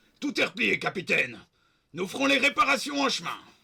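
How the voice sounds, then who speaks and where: A put-on character voice rattles along at a fairly quick pace. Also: man, extremely high pitch for a man. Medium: read story. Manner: urgent, deferential.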